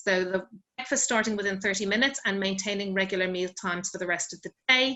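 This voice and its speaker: A woman speaks with an Irish accent. Her intonation is fairly even. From Ireland. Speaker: sleep expert. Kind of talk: online wellbeing talk. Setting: video call.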